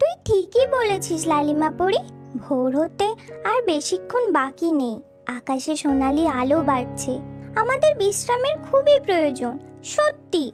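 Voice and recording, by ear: A female-sounding cartoonish character voice speaks high and fairly slowly. Clear music plays in the background.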